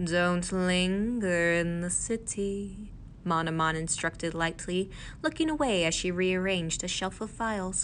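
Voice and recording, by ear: Natural-voiced reading aloud, pitch shifting in an ordinary way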